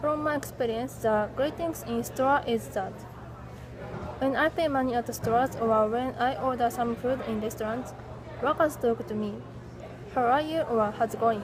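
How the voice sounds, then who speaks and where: A woman with a Japanese accent speaks in a high voice at a moderate pace, with ordinary pitch variation. She leaves long, frequent pauses while crowd noise carries in the background. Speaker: English language student. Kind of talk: class presentation. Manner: halting.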